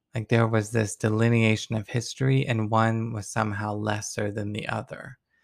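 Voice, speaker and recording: A man with an American accent and medium pitch talks at a moderate pace in monotone, flat intonation with hardly any pauses. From US Deep South. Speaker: pastor and podcast host. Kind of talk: sermon-style reflection. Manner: reading aloud.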